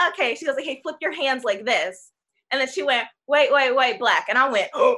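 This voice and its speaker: Raised and projected, a woman's high-pitched voice carries lively intonation and an American accent. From Chicago, US. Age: 20s. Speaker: actor and singer. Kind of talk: casual panel discussion.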